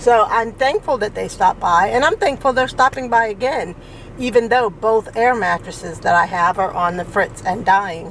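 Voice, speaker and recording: Noticeable background noise under a moderate pace and lively intonation. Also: woman, fairly high pitch for a woman. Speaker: vlogger. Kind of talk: casual vlog monologue. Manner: sounds angry, tense tone; anxious, sharp delivery.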